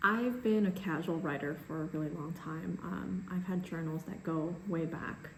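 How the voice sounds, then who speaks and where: Noticeable background noise runs under the recording, along with audible room echo. The speaker is a woman. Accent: Chinese. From US, immigrated from China at about six. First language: Chinese. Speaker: baker and cookbook author. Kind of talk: casual vlog talk to camera.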